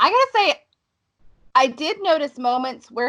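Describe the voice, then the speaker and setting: A woman with an American accent speaks at a fairly slow pace in a raised, projected voice. Her tone is bright and sharp, and her pitch swings very widely. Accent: fluctuating Southern and northern US. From US South. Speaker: podcast co-host, film reviewer. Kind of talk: casual chat.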